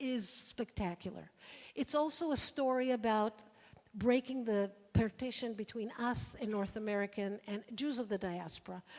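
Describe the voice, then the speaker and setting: The woman speaking has a fairly high pitch. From Israel. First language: Hebrew. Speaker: activist and former swimming champion. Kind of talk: forum talk.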